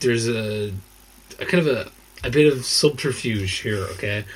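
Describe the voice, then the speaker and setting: A man with an Irish accent at a fairly slow pace, lively in intonation, over noticeable background noise. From southern Ireland (Waterford). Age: 30s. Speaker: podcast co-host. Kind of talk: casual chat. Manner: animated.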